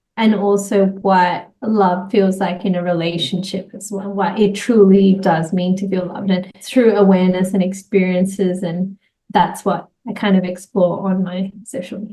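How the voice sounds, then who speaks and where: Her intonation is monotone and flat. The woman talks at a moderate pace with an Australian accent. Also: medium pitch for a woman. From Australia, Sydney. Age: 30s. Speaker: entrepreneur and social media creator. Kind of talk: interview conversation.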